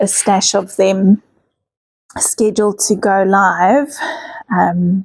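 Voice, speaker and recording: A woman's medium-pitched voice with vocal fry and monotone, flat intonation, in a dry, close sound with no echo. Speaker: art journaling youtuber. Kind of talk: tutorial.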